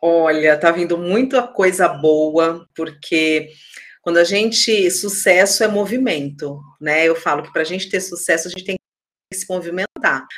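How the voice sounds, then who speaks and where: A woman talks in an ordinary speaking voice, fairly low in pitch with ordinary pitch variation. Her loudness swings widely. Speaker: HR consultant. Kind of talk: casual interview.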